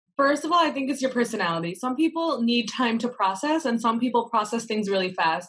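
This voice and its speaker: An unremarkable speaking voice from a woman with an American accent, fairly high in pitch, with lively intonation, very even loudness, a fairly quick pace and hardly any pauses. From US Midwest, Michigan. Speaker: medical student. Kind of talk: casual chat.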